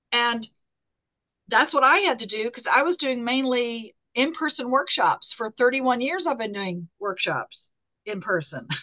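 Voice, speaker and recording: A woman speaks in a high pitch with a bright, sharp tone. Her pace is fairly slow. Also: lively intonation. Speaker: workshop facilitator. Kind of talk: interactive group workshop. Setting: video call.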